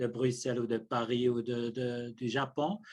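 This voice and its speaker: A man speaks at a very slow pace. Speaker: ethics professor, theologian. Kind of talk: lecture. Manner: halting, many hesitations.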